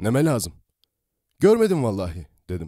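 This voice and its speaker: This is a man speaking. The sound is dry and close with no echo. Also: very clean recording, silent background. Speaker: voice actor, audiobook narrator. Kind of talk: audiobook story reading. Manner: soft-spoken, calm.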